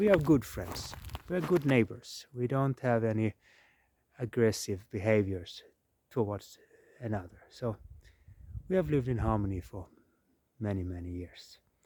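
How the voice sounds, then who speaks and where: Speaking with a southern Swedish accent, a man has a dark, mellow tone at medium pitch, a moderate pace, lively intonation and long, frequent pauses. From southern Sweden. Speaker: permaculture designer. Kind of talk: casual talk to camera. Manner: halting.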